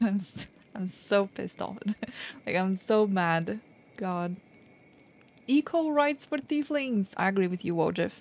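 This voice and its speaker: With a non-native accent, a woman of medium pitch speaks fairly slowly, swinging her pitch very widely and leaving long, frequent pauses. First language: not English. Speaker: video game streamer. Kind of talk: live game stream with reading dialogue aloud. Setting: live stream. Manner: halting, self-correcting.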